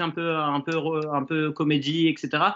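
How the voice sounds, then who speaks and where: A man's voice, fairly high in pitch, is heard here. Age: 30s. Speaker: bookseller. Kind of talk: casual live stream chat. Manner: hesitant, many fillers.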